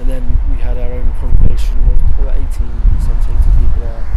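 A man's dry, echo-free voice against loud background noise. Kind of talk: interview answer. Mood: relaxed, slightly wry. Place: street. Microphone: handheld.

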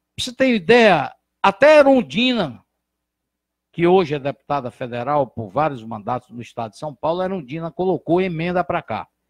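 A man talks with fairly high pitch, very wide pitch swings and big swings in loudness. The sound is dry with no echo over a quiet background. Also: moderate pace. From Brazil, Ceará (Santana do Acaraú); Ceará, Brazil. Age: 60s. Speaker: physician and former politician; former politician. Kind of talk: interview. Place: studio. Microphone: handheld.

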